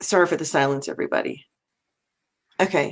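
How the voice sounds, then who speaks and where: Moderate-paced female speech with ordinary pitch variation. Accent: American. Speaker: talk show host. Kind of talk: live interview. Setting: live video stream.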